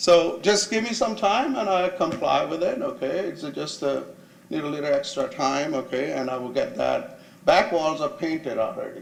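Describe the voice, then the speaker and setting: A man speaks at a moderate pace, and audible room echo surrounds his voice. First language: not English. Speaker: property owner, small business owner. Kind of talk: public hearing testimony.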